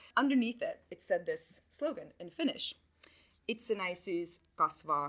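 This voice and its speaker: A woman's voice has a bright, sharp tone and very wide pitch swings. She speaks at a fairly slow pace. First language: not English (third language). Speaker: literature lecturer. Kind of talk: talk to live audience. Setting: stage with audience.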